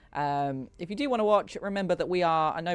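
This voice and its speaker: The background is quiet. The pace is fairly quick. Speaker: video game streamer. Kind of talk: live gameplay stream commentary. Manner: fast.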